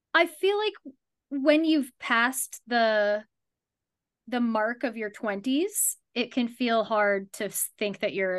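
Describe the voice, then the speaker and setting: A woman talks with a normal speaking voice at a fairly high pitch. The background is quiet. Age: 30s. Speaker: life coach. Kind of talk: casual chat.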